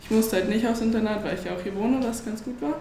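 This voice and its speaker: Woman's fairly high voice with ordinary pitch variation, noticeable background noise and audible room echo. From Berlin. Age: young. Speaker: basketball player. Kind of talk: panel talk before live audience. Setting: event venue with audience.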